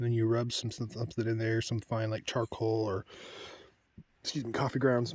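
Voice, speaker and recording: A man talks at a fairly quick pace with long, frequent pauses. His somewhat breathy voice has monotone, flat intonation. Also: medium pitch for a man. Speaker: woodcarver. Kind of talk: tutorial. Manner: casual; soft-spoken.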